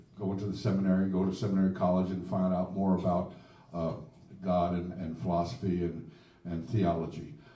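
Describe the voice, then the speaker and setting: A man with an American accent and a very deep, low voice speaks at a fairly quick pace with fairly even intonation, and audible room echo surrounds him. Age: 70s. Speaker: blues singer-songwriter. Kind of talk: casual chat. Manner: halting.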